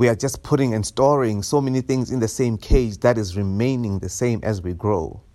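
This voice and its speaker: The recording is very clean, with a silent background. A man speaks in an unremarkable speaking voice at medium pitch and a moderate pace, with ordinary pitch variation. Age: 30s. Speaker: podcast host. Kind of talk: solo monologue podcast.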